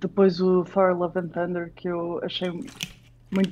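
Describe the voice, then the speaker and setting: A woman's voice has a fairly low pitch and a dark, mellow tone. She talks at a very slow pace with fairly even intonation. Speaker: film programmer and writer. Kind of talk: casual discussion.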